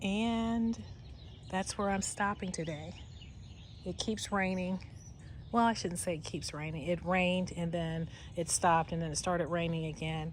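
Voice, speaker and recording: A somewhat breathy voice at a moderate pace, with ordinary pitch variation and long, frequent pauses. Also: woman, fairly low pitch for a woman. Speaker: gardening vlogger. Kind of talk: casual vlog narration. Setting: outdoors.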